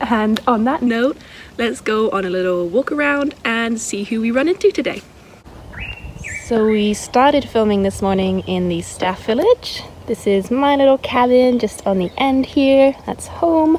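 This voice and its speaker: A woman's fairly high-pitched voice at a fairly slow pace, over noticeable background noise. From Scotland. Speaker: wildlife sanctuary worker. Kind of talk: casual vlog walkthrough.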